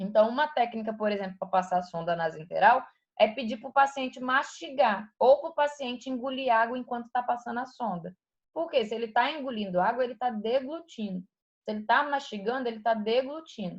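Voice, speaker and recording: A woman's high-pitched voice with ordinary pitch variation and a fairly quick pace. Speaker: anatomy teacher. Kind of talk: online lecture. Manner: fast.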